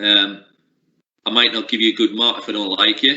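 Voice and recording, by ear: Bright and sharp in tone, a man speaks at a moderate pace in a fairly low voice with little pitch movement.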